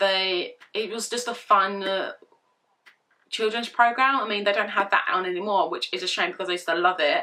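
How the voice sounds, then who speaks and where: A woman with a British accent speaks in a bright, sharp tone at medium pitch. Her pitch varies in an ordinary way, and her pace is fairly quick. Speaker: vlogger. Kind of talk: casual vlog Q&A. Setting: bedroom.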